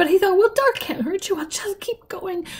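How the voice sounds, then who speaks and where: Using a put-on character voice, a woman speaks at a moderate pace in an extremely high, shaky pitch. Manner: fast, hardly pausing for breath.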